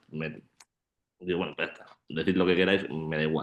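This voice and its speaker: With monotone, flat intonation, the man speaks at a very deep, low pitch. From Málaga, Andalusia, Spain. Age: 20s. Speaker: shot put athlete and student. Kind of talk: panel discussion.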